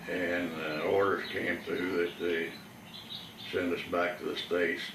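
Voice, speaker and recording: A man with a Texan accent, very deep and low in pitch, monotone and flat, at a fairly slow pace over noticeable background noise. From Texas; Houston. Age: 90s. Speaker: Navy veteran. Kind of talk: interview answer.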